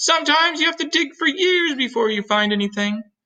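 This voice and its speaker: A man performs a put-on character voice. It sits at an extremely high pitch and moves at a fairly quick pace. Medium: read story. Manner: earnest, professorial.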